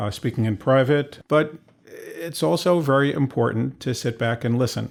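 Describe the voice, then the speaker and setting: In a very clean recording with a silent background, a man speaks in an unremarkable speaking voice. His pitch is medium with ordinary pitch variation, and his pace is moderate. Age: 60s. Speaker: physician. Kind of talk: interview.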